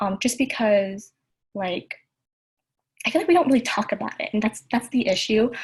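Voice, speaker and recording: Lively in intonation and somewhat breathy, a woman speaks at a fairly high pitch and moderate pace, with long, frequent pauses. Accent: Californian. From Southern California, Vietnamese American family. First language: Vietnamese. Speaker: youth panelist. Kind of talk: panel discussion.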